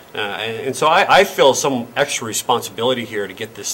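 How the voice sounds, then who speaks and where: A man speaks at a fairly quick pace with ordinary pitch variation. Light background noise is present. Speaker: local politician. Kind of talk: interview answer. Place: meeting room.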